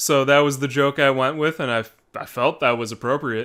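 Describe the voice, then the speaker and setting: A man with a fairly high pitch at a moderate pace, in an American accent. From United States. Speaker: YouTuber. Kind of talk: reading and reacting to viewer comments. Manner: casual, hesitant with repeats.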